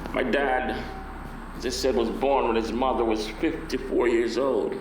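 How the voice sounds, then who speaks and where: The speech comes at a fairly slow pace with very even loudness, audible room echo and noticeable background noise. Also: man, medium pitch for a man. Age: 60s. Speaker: preacher. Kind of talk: sermon. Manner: animated.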